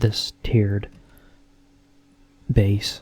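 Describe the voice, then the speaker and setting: A soft-spoken man talks in a relaxed tone. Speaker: ASMR content creator / Minecraft player. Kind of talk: ASMR Minecraft commentary, casual talk to camera. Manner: soft-spoken, relaxed.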